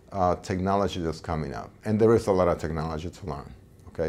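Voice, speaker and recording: A man speaks with a very deep, low pitch. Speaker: professor. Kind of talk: interview testimonial. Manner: halting. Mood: earnest, enthusiastic about teaching. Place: office. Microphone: lapel.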